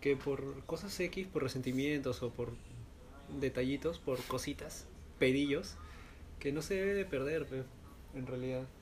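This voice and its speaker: A man with a fairly high voice and normal pitch movement talks fairly slowly, pausing often and at length. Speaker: podcast co-host. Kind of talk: casual chat.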